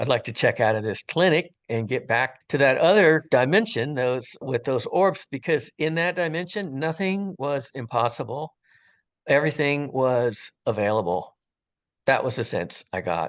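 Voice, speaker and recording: In an ordinary speaking voice, a man talks at medium pitch and a moderate pace with lively intonation, the sound dry and close with no echo over a quiet background. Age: 60s. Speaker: retired firefighter sharing a near-death experience. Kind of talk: testimony. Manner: casual, conversational.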